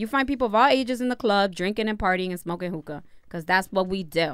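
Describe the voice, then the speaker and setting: With a Spanish accent and very wide pitch swings, a woman talks at a very fast pace on a very clean recording with a silent background. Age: 30s. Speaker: podcast co-host. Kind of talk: casual chat. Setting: livestream recorded at home.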